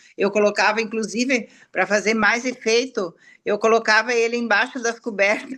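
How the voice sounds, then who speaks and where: Against a quiet background, a woman with a fairly high pitch and a bright, sharp tone speaks at a moderate pace in a monotone, flat intonation with very even loudness. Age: 70s. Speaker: customer giving testimony. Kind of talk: testimony. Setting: live stream. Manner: halting.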